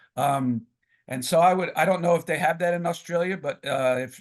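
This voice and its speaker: This is a man speaking. His pace is moderate. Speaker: professional wrestling ring announcer and author. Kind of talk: podcast interview answer.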